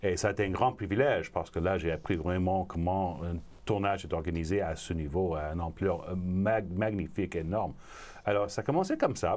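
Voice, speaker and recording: An English accent in a very clean recording with a silent background. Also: man, very deep, low pitch for a man, ordinary pitch variation, fairly quick pace. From Montreal, Quebec. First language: English (speaking French). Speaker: film producer. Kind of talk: interview. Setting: studio.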